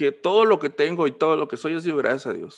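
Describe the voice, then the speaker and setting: Pitch varies in an ordinary way as a man speaks in a plain, everyday voice at a moderate pace. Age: 20s. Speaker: church musician and ministry trainer. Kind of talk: casual interview.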